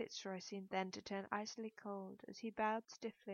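The passage comes in an unforced reading voice.

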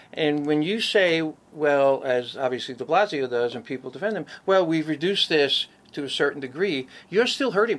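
The speaker has lively intonation and a New York accent. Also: man, fairly high pitch for a man, moderate pace. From New York City, Brooklyn. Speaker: mayoral candidate. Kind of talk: interview.

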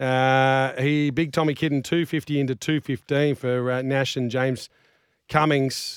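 A man speaks at a medium pitch with fairly even intonation and very even loudness. The sound is dry and close, with no echo. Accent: Australian. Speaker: racing show host. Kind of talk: racing preview chat with tipping and odds rundown. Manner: fast, rattling off prices and stats, casual banter.

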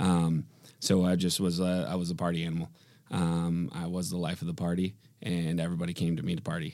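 With an Upper Midwest accent and a dark, mellow tone, the speaker moves at a fairly quick pace in monotone, flat intonation on a very clean recording with a silent background. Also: man, very deep, low pitch for a man. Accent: Upper Midwest American. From Michigan, Grand Rapids. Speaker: businessman. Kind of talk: casual interview.

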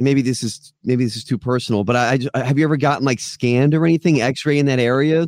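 A man with an American accent and a fairly high pitch talks at a very fast pace with ordinary pitch variation, on a very clean recording with a silent background. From South Florida. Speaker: podcast host. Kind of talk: casual interview. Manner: hesitant with fillers.

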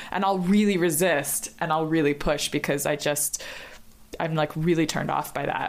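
At a moderate pace, a woman speaks in a very deep, low pitch with fairly even intonation. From New York City. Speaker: theater director and choreographer. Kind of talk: casual chat.

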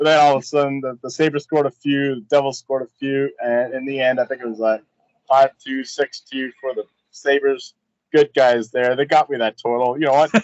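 A man speaks with an unremarkable speaking voice at a fairly high pitch. His pace is fairly quick and his intonation fairly even. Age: 30s. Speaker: sports betting podcast co-host. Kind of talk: casual chat. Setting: outdoors on a balcony.

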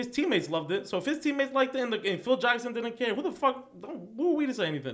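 A man with a New York accent talks at a very fast pace in an extremely high pitch. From New York, Queens. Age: 20s. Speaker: sports fan guest. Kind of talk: casual chat.

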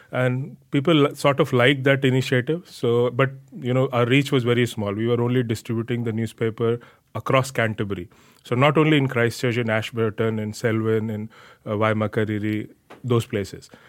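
A man with an Indian accent speaks at a fairly quick pace. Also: medium pitch for a man, fairly even intonation. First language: Hindi. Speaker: newspaper editor. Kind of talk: podcast interview.

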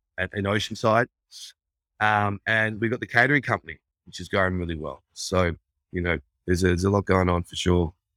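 A bright, sharp tone in an Australian accent at a fairly quick pace, with ordinary pitch variation, big swings in loudness and long, frequent pauses, in a very clean recording with a silent background and a dry, close sound with no echo. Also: man, fairly low pitch for a man. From Australia, Brisbane, Queensland. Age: 40s. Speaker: entrepreneur and restaurateur. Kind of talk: casual interview chat.

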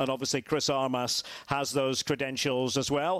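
With a Scottish accent, a man talks at a moderate pace in a fairly high pitch with fairly even intonation, on a very clean, dry, close recording with no echo and a silent background. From Scotland, Aberdeen. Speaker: football commentator. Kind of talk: casual chat.

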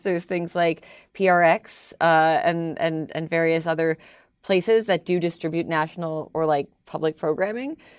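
A woman speaks at a moderate pace with a fairly low pitch and a slight Canadian accent, on a very clean recording with a silent background. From Toronto, Canada. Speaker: radio host. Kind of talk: casual interview chat.

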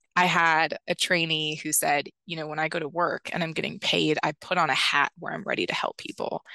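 A woman's fairly low voice with vocal fry and monotone, flat intonation, fairly quick with hardly any pauses, dry and close with no echo, over a quiet background. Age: 20s. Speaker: AmeriCorps member and mental health trainer. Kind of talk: interview conversation.

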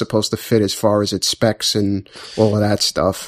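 A plain, everyday voice from a man, medium in pitch, at a moderate pace, with dry, close sound and no echo. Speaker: podcast co-host. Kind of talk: casual chat.

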